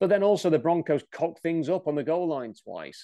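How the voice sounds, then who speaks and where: In an English accent, a man with a high pitch and a dark, mellow tone speaks at a moderate pace with ordinary pitch variation against a quiet background. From England. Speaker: sports commentator. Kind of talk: opinion monologue.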